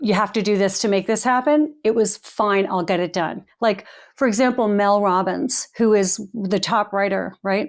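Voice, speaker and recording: Using a normal speaking voice with an American accent, a woman talks at a moderate pace and medium pitch with ordinary pitch variation, very even loudness and hardly any pauses, in a very clean recording with a silent background. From Long Island, New York. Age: 60s. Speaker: author and speaker. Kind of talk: podcast interview. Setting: home.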